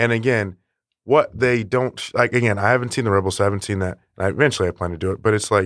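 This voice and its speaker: The recording is very clean, with a silent background and a dry, close sound with no echo. It carries a normal speaking voice. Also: man. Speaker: podcast co-host. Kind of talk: casual chat.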